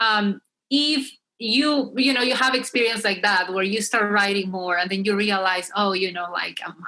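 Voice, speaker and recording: Speaking at a moderate pace with a Spanish accent, a woman uses medium pitch, ordinary pitch variation and a bright, sharp tone. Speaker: STEM student. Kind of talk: panel discussion.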